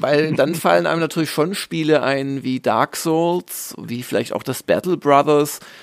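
Speaking at a fairly slow pace with hardly any pauses, a man uses a fairly high pitch and ordinary pitch variation. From southern Germany (Swabia). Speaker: games journalist and magazine publisher. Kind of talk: casual interview.

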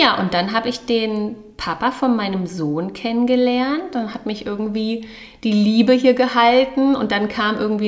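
The pace is fairly slow and the pitch varies in an ordinary way, with noticeable background noise and audible room echo. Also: woman. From Berlin, Germany. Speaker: podcast co-host. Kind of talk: casual chat.

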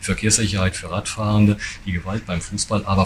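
The delivery is very fast, in a monotone, flat intonation. Noticeable background noise runs underneath. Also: man. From Westphalia, Germany. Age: 50s. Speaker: police chief. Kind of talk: press interview.

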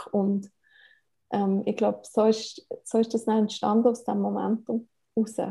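A woman with a Bernese accent speaks fairly slowly, pausing often and at length. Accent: Bernese Swiss German. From Switzerland, Bern. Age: 30s. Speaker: family blogger and media spokesperson. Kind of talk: interview.

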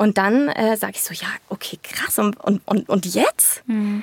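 An animated woman's voice with a dry, close sound and no echo. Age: 20s. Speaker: young mother. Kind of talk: casual interview.

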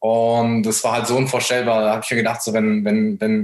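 A man delivers his words fairly quickly at a medium pitch. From Germany, near Frankfurt. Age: 20s. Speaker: dropshipping entrepreneur. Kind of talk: casual interview, personal story.

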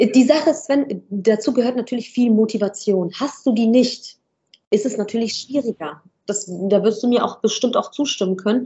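At a moderate pace, a woman talks in a normal speaking voice with ordinary pitch variation. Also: fairly high pitch for a woman. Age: 20s. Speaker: business owner in medical staffing. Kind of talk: interview.

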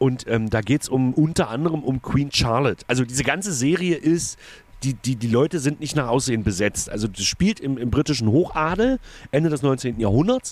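A man talks with lively intonation at a fairly quick pace. He has a normal speaking voice. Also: medium pitch for a man. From Saxony-Anhalt, Magdeburg. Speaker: cabaret artist, podcast co-host. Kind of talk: casual chat.

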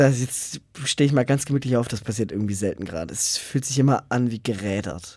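A man has a medium pitch with ordinary variation. He speaks very fast. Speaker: podcast co-host, paramedic. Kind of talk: casual chat.

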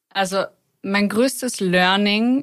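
Against a silent background in a very clean recording, a woman speaks very slowly at a medium pitch. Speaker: expat graduate. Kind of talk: casual chat. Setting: studio.

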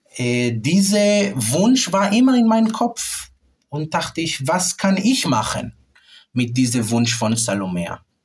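A man with an Israeli accent speaks at a very slow pace, his fairly high pitch making very wide swings. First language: Hebrew (speaking German). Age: 30s. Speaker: classical clarinetist. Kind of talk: interview. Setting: music rehearsal room. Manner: halting.

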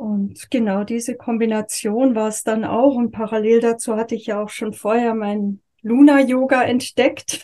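With music in the background, a woman speaks at a moderate pace in a fairly high pitch, her intonation monotone and flat and hardly any pauses in her speech. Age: 50s. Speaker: yoga and communication teacher. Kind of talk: interview.

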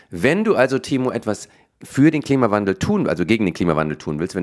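A man speaks in an animated tone. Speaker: comedian and podcast co-host. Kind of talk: casual chat.

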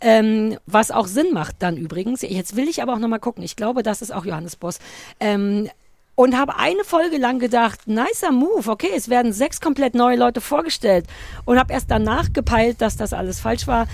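A woman with a plain, everyday voice, fairly high in pitch, at a moderate pace. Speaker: podcast co-host. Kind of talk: casual chat. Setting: outdoors.

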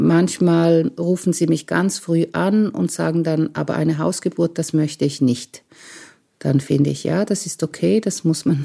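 On a very clean recording with a silent background, a woman speaks at a fairly slow pace. Her fairly low pitch varies in an ordinary way, her tone dark and mellow. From eastern Switzerland, Lake Constance (Romanshorn). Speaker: midwife. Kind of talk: interview.

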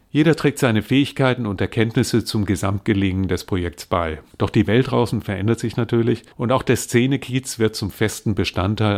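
A man with a fairly low pitch and an unremarkable speaking voice talks at a moderate pace with hardly any pauses and ordinary pitch variation, recorded very cleanly against a silent background. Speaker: retired teacher and translator. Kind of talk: interview with reading aloud. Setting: studio.

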